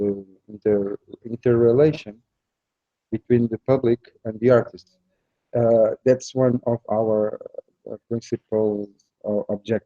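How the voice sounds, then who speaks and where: In a Portuguese accent, a man of medium pitch speaks at a fairly slow pace, monotone and flat, with long, frequent pauses. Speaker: festival organizer and comics artist. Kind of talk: interview. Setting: festival venue, live stream. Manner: halting, searching for words.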